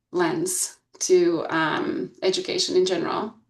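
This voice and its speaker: A woman with a Bulgarian accent and lively intonation. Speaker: school board candidate, researcher. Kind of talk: candidate presentation. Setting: video call. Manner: hesitant, many fillers.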